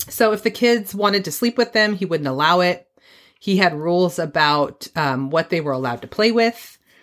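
On a very clean recording with a silent background, a woman uses a normal speaking voice at medium pitch, moderate pace and lively intonation. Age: 40s. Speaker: true crime podcast host. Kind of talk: casual chat with storytelling.

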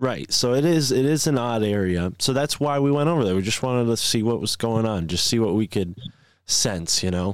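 On a very clean recording with a silent background, a man with an ordinary speaking voice talks at a fairly quick pace, his pitch medium, his intonation lively and his loudness very even. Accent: American. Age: 20s. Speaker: podcast host. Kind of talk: casual chat.

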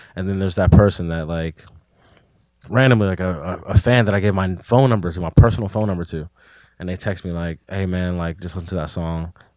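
Very fast speech in a Pittsburgh accent shows fairly even intonation and big swings in loudness, recorded very cleanly against a silent background. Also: man, very deep, low pitch for a man. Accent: Pittsburgh urban American English. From Pittsburgh area, western Pennsylvania (McKeesport). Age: 20s. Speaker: rapper. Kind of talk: casual chat.

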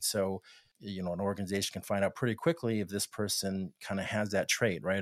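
On a very clean recording with a silent background, a man speaks with an ordinary speaking voice at a fairly low pitch. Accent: American. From Texas, El Paso. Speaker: tech executive. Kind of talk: interview. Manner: casual, with frequent fillers.

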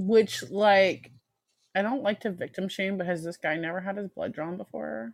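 In a normal speaking voice, a woman with a medium pitch talks at a moderate pace with lively intonation. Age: 30s. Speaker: true crime podcast co-host. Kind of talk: casual storytelling of a true crime case. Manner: casual, with fillers and swearing.

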